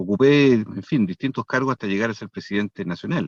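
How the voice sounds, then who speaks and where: A man at a moderate pace with ordinary pitch variation, recorded dry and close with no echo against a quiet background. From Chile, Santiago. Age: 60s. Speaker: political candidate. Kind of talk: interview.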